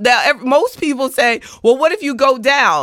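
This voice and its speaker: Projecting her raised voice, a woman with an American accent and a high pitch speaks at a fairly slow pace in an animated, bright, sharp tone, captured in a dry, close sound with no echo on a very clean recording with a silent background. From US South. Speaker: financial advisor and podcast host. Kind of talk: solo motivational talk.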